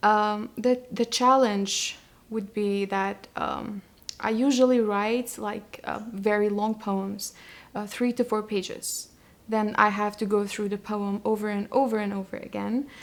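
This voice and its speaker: The speaker talks at a fairly slow pace with monotone, flat intonation in a Kurdish accent. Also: woman, fairly high pitch for a woman. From Iraqi Kurdistan, Sulaimani. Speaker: poet and translator. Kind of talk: interview. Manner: halting, many fillers and restarts.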